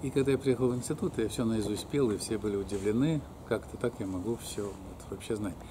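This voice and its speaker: A man talks at a fairly quick pace with ordinary pitch variation. Background noise is noticeable. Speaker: alternative health practitioner and academic; interviewee. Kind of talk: life story interview; interview answer. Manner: halting, with many fillers. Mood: relaxed, reminiscing, sometimes smiling. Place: garden. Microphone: phone near.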